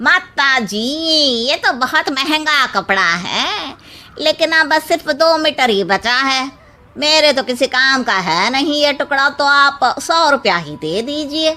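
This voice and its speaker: A cartoonish character voice with lively intonation at a fairly slow pace. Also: woman, high pitch for a woman. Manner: gossipy, scornful.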